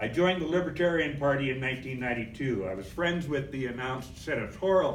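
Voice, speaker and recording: Room echo is audible around a man's voice. He speaks at a fairly high pitch with lively intonation. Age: 70s. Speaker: political activist. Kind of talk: convention speech.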